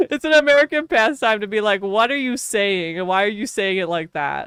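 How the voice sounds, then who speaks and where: With a strong Wisconsin accent, a woman talks at a fairly quick pace in an animated tone. Her fairly high pitch makes very wide swings. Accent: strong Wisconsin Midwestern. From Wisconsin, US Midwest. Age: 20s. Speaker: streamer. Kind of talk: live-stream gaming chat.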